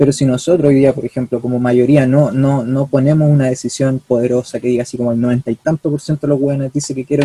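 A man with a Chilean accent has a dark, mellow tone, somewhat breathy and fairly high in pitch. He talks at a fairly quick pace with fairly even intonation. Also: dry, close sound with no echo. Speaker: student activist. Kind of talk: casual chat.

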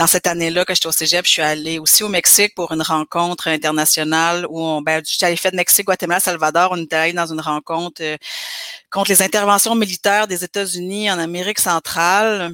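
A woman with a bright, sharp tone and fairly low pitch speaks fairly quickly with fairly even intonation, the sound dry and close with no echo. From Quebec (Granby). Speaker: community organizer and activist. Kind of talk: casual interview conversation.

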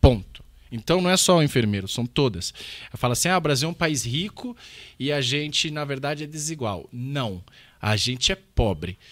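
On a very clean recording with a silent background, a man with a plain, everyday voice talks at a moderate pace and fairly high pitch with lively intonation. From Brazil. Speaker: economist, political candidate. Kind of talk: casual interview chat.

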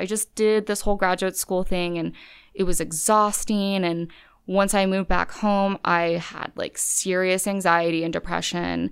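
The recording is very clean with a silent background. A woman of medium pitch speaks at a moderate pace in a flat monotone. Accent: American. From California. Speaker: law student. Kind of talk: interview. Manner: casual, filler-heavy.

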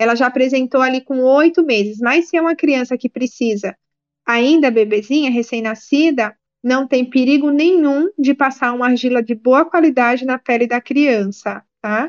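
At a high pitch, a woman speaks at a moderate pace with ordinary pitch variation. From Brazil, Alagoas (Maceió). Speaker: naturologist and clay therapist. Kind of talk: interview.

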